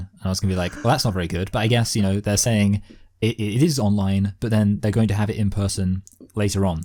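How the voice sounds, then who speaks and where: Talking very fast with an English accent, a man has a fairly low, dark, mellow voice and fairly even intonation. His loudness swings a lot, on a very clean recording with a silent background. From southern England. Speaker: podcast host. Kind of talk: casual chat.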